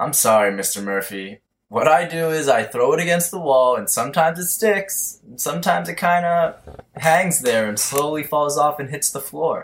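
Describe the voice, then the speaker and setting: Drawling in a put-on character voice, a man speaks at a fairly high pitch and a moderate pace with lively intonation. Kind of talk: comic stoner caricature. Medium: audio drama. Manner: laid-back slacker drawl, says bro.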